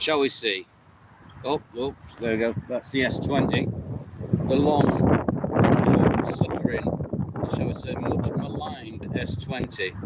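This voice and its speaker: Very slow delivery with long, frequent pauses, ordinary pitch variation, and noticeable background noise. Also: man, medium pitch for a man. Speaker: outdoor camping vlogger. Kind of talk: unscripted live stream. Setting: outdoors in a coppice. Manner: loud. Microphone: poor sound quality.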